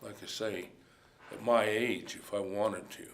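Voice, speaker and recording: A man whispering with a rural western US accent, audible room echo around him. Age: 60s. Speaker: cowboy. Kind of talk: interview testimony.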